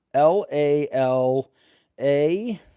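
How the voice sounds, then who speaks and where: a man's fairly high voice with a dark, mellow tone, lively intonation and an American accent. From Boston area, Malden, Massachusetts. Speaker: lottery scratch ticket streamer. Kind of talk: casual live stream chat. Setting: live stream. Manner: animated.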